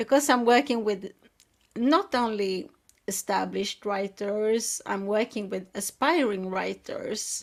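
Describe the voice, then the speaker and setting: The speaker has a Swedish accent and ordinary pitch variation at a fairly slow pace. The recording is very clean, with a silent background. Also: woman. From Sweden. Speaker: writing coach and editor. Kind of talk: interview talk.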